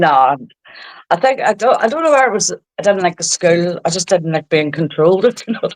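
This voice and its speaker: Speaking at a fairly quick pace, a woman with a medium pitch uses lively intonation, recorded with a dry, close sound and no echo. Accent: Belfast. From Northern Ireland, East Belfast. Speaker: social media creator. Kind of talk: casual interview.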